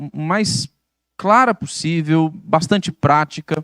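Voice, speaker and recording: A man speaks at a fairly high pitch with ordinary pitch variation, an ordinary speaking voice. The sound is dry and close with no echo, in a very clean recording with a silent background. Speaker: pastor. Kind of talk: bible study lecture. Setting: church.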